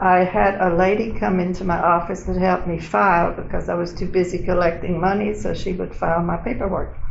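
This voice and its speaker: With an American accent, a woman speaks at medium pitch and a moderate pace in a monotone, flat intonation, with audible room echo and noticeable background noise. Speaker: oral history interviewee, retiree. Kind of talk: oral history interview. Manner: conversational, storytelling.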